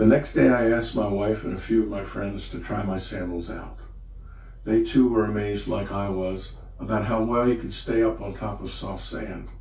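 Big swings in loudness from a man speaking at a moderate pace, plus noticeable background noise. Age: old. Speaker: retired grandfather, inventor. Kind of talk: personal story narration in a promotional video.

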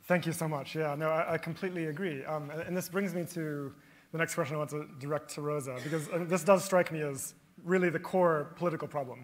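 In an ordinary speaking voice, a man with a fairly high pitch talks at a fairly quick pace with fairly even intonation. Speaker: professor, panel moderator. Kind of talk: panel moderation. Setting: stage with audience.

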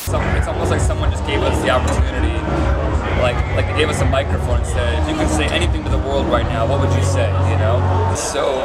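A man talks fairly quickly while music plays in the background. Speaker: interviewee. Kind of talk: interview answer. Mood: thoughtful, earnest. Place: tent.

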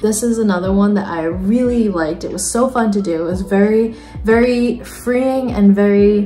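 A woman speaks at a moderate pace and a medium pitch. She barely pauses while faint music plays behind her. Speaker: artist. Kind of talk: casual talk to camera. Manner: monotone. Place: home room. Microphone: phone near.

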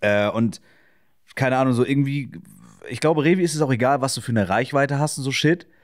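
A man talks at a very fast pace with ordinary pitch variation and long, frequent pauses, recorded very cleanly against a silent background. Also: medium pitch for a man. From northern Germany, Schleswig-Holstein (Kiel suburb). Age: 20s. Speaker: streamer. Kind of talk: casual chat.

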